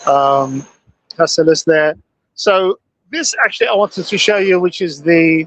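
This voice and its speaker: Here a man speaks with a British accent and a high pitch. His speech has long, frequent pauses. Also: ordinary pitch variation, fairly slow pace. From Britain. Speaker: field reporter at tech conference. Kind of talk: live walkaround commentary. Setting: conference exhibition hall. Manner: halting, many fillers.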